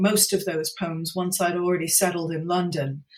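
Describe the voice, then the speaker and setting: A somewhat breathy woman's voice with an American accent at a moderate pace. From US, New Jersey. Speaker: poet. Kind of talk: interview.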